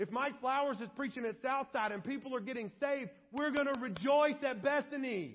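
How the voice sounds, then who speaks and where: A loud man's voice, extremely high in pitch, with ordinary pitch variation and a fairly quick pace. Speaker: pastor. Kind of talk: sermon. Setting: church.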